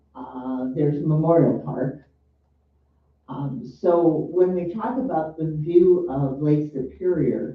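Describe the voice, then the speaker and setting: Fairly high in pitch for a man, a somewhat breathy voice. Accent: American. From northern Wisconsin, US. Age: 70s. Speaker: city council member. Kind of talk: council meeting debate. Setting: city hall meeting room.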